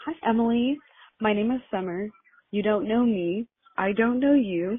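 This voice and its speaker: A woman speaks at a moderate pace with an American accent and an ordinary speaking voice. Her pitch varies in an ordinary way. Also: fairly high pitch for a woman. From Las Vegas, Nevada. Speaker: voicemail caller. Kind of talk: voicemail.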